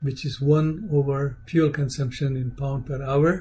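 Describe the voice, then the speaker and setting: A somewhat breathy voice speaks at a very slow pace amid audible room echo. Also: man. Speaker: aerospace engineering lecturer. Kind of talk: lecture.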